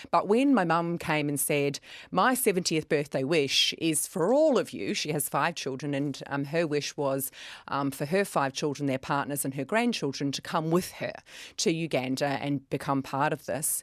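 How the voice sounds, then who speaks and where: A woman with a very deep, low voice speaks at a moderate pace in a slight New Zealand accent. The recording is very clean, with a silent background. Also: ordinary pitch variation. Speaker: kindness organisation director. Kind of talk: radio interview.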